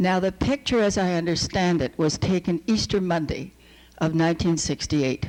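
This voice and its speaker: A woman speaks in a fairly low pitch with vocal fry. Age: 70s. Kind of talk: conference talk. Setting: stage with audience.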